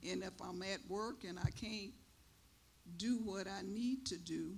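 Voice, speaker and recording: A woman speaks fairly slowly, and the room echo around her is audible. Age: 70s. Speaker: elder panelist, caregiver. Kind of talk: panel discussion. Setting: church stage.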